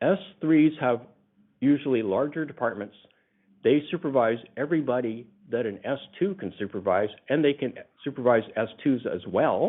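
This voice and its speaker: A man speaks in a plain, everyday voice at medium pitch, keeping a moderate pace and lively intonation. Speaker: union classifications department lead. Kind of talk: presentation in a telephone town hall. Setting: telephone call.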